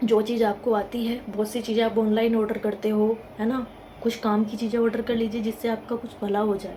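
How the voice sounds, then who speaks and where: Over noticeable background noise, a woman speaks at a moderate pace with a fairly high pitch. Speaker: motivational YouTuber. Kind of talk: motivational talk to camera. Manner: conversational.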